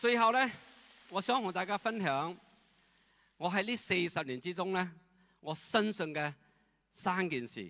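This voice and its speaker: A man's raised, projected voice with a bright, sharp tone and a non-native accent, high in pitch with lively intonation, at a fairly slow pace with long, frequent pauses. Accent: non-native Cantonese. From Myanmar. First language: not Cantonese (speaking Chinese). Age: 70s. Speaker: retired direct-sales leader. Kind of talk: testimony. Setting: stage with audience. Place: hall. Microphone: handheld.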